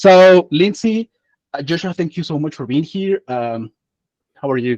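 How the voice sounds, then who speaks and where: A man with a Spanish accent, fairly high in pitch with lively intonation, at a fairly slow pace, in a dry, close sound with no echo. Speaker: community host, interviewer. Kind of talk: panel interview.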